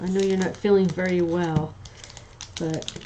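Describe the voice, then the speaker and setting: A woman with an American accent talks at medium pitch, with audible room echo and noticeable background noise. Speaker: craft demonstrator livestreamer. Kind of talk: casual livestream chat while crafting. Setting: home livestream. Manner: chatty, hesitant with many ums.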